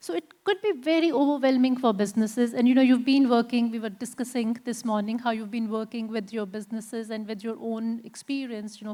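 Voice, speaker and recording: This woman has an unremarkable speaking voice, pitched fairly high, moving at a fairly quick pace with fairly even intonation. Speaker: panel moderator. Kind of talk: panel discussion moderation. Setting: conference stage with audience.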